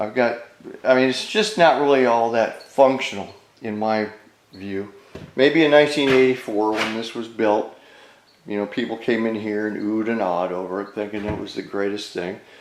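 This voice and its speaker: A man at medium pitch with ordinary pitch variation and a moderate pace, with audible room echo. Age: 70s. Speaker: DIY home renovation vlogger. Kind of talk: casual vlog narration. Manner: hesitant, many fillers.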